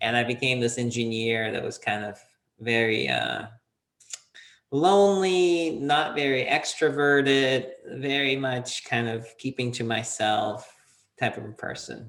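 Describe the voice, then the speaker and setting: A man speaks at medium pitch at a fairly slow pace. He has a plain, everyday voice with ordinary pitch variation. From Soviet Union, half raised in US. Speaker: entrepreneur, PR consultant. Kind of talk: interview.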